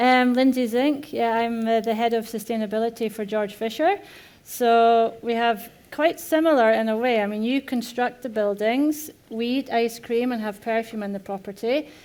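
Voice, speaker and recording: In a Scottish accent, a woman talks at a moderate pace and a fairly high pitch, keeping her intonation fairly even. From Scotland. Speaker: corporate sustainability head. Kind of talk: panel discussion. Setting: conference stage with audience.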